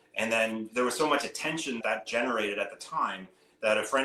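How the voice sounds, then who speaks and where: A man speaks at a very fast pace with a Canadian accent. Noticeable background noise runs behind him. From Canada. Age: 50s. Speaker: hedge fund manager. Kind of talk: interview. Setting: podcast. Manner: casual, many fillers.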